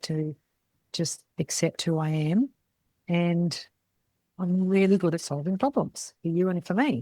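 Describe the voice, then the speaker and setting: A woman with a fairly low pitch and a dark, mellow tone speaks very slowly in an Australian accent, with ordinary pitch variation. The recording is very clean, with a silent background and a dry, close sound with no echo. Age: 60s. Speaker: podcast host, salon business mentor. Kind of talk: casual monologue podcast. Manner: animated.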